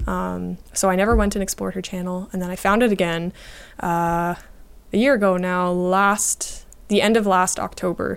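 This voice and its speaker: A woman with a Canadian accent speaks in an ordinary speaking voice, medium in pitch and at a moderate pace. Her intonation stays fairly even, and the recording is very clean with a silent background. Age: 20s. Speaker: YouTuber, falconer and artist. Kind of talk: interview conversation.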